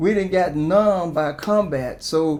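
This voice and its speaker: A man with an American accent speaks with lively intonation over noticeable background noise. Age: 70s. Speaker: war veteran. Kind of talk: testimony.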